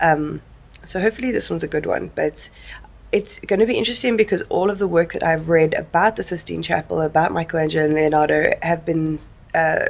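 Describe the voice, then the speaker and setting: A woman speaks with a strong South African accent. She talks at a fairly quick pace. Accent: heavy South African. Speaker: book vlogger. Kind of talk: casual vlog chat. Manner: casual, with many fillers.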